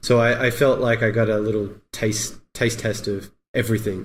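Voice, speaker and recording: A man with an Australian accent speaks at a moderate pace in a fairly low, somewhat breathy voice, with monotone, flat intonation and audible room echo. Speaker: motion graphics artist. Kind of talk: podcast interview.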